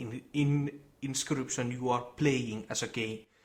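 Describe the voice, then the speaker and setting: A somewhat breathy man talks at a fairly slow pace with fairly even intonation. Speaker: gaming video creator. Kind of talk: video essay presentation. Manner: quiet.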